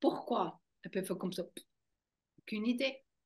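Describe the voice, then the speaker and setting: A woman speaks with a German accent. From German-speaking Switzerland. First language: German (speaking French). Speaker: fascia movement trainer. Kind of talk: interview.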